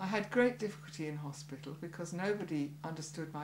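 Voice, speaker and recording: Audible room echo surrounds a woman speaking fairly quickly in a very deep, low voice with ordinary pitch variation. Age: 70s. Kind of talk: testimony.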